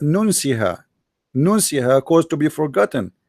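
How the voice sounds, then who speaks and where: With lively intonation at a moderate pace, the voice comes through in a dry, close sound with no echo on a very clean recording with a silent background. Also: man. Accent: Arabic. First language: Arabic. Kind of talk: religious debate.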